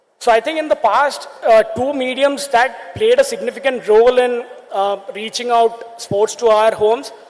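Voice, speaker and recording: Over noticeable background noise, a man with an extremely high pitch talks at a moderate pace with hardly any pauses. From India, Kerala. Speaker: sports media entrepreneur. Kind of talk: conference talk.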